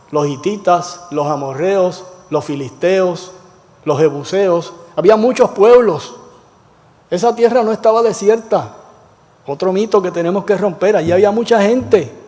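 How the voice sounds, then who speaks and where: Amid noticeable background noise, a man with a high pitch speaks at a fairly slow pace with long, frequent pauses and ordinary pitch variation. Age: 70s. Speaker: Bible class teacher, former pastor. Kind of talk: Bible study class. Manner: conversational, question-and-answer with class.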